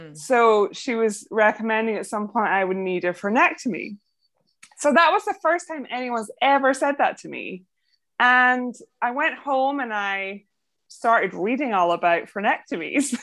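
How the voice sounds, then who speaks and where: Against a quiet background, a woman with a Scottish accent speaks at a moderate pace and a fairly high pitch, with very wide pitch swings and big swings in loudness. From Scotland. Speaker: podcast host and sleep apnea patient. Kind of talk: interview.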